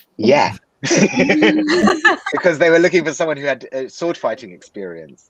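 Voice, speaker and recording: With a London accent, a man speaks at a fairly slow pace, his loudness rising and falling widely. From London, England. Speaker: actor. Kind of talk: interview answer.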